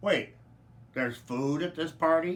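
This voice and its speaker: A man puts on a character voice, speaking at a moderate pace with a fairly high pitch and ordinary pitch variation. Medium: read story.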